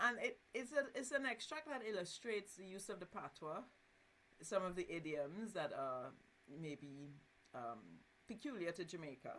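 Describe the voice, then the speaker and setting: A woman in a Caribbean accent talks at a moderate pace and a medium pitch. Her voice makes very wide pitch swings, broken by long, frequent pauses. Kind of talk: explaining, literary.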